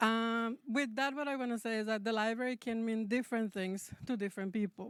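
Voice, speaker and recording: A woman with a Spanish accent and a fairly high pitch, at a moderate pace with ordinary pitch variation, on a very clean recording with a silent background. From Mexico. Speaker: public library representative. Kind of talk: public address.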